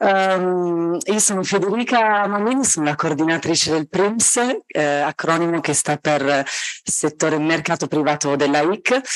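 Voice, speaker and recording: Over a quiet background, a woman speaks at a fairly low pitch and a fairly slow pace. Her loudness stays very even, with ordinary pitch variation. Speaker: conference interpreter, committee coordinator. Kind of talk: conference presentation. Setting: hybrid event with audience in a room.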